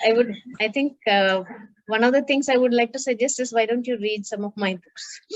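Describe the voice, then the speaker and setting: The speaker has a Pakistani accent. Delivery is fairly quick, with fairly even intonation. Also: woman, fairly high pitch for a woman. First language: Urdu. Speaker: children's book author. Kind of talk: Q&A session with school students. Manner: halting, many fillers.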